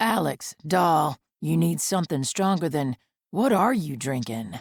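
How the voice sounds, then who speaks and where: Using a put-on character voice, a woman talks at a moderate pace, raspy and very deep and low in pitch. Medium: read story. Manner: slurring, overfamiliar.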